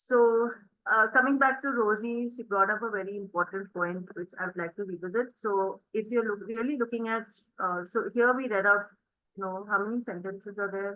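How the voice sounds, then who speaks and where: A woman with an Indian accent speaks at a fairly high pitch with fairly even intonation. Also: moderate pace. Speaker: spoken English teacher. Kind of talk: interactive online class.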